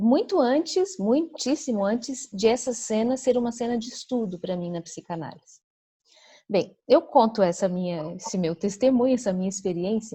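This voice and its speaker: A woman with a fairly high pitch and a dark, mellow tone speaks at a moderate pace, somewhat breathy, with lively intonation. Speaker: psychoanalyst. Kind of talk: conference Q&A discussion. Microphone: audio dropping out, poor internet connection.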